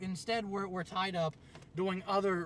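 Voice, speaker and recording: A man with an American accent talks in a raised, projected voice, pitched high. His pace is fairly quick. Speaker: video blogger. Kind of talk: rant. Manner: loud; halting.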